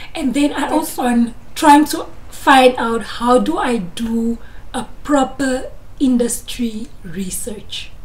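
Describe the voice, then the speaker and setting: Very slowly, a woman talks at a high pitch with ordinary pitch variation. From Namibia, Grootfontein; Namibia. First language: Afrikaans. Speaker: YouTuber, chartered accountant; candidate. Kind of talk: educational vlog. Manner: animated. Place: home room. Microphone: phone near.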